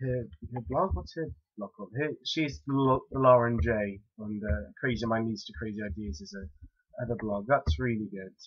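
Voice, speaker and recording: A man with a medium pitch and a somewhat breathy voice talks at a moderate pace, his intonation lively and his loudness swinging widely. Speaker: vlogger. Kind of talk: casual vlog, answering challenge questions.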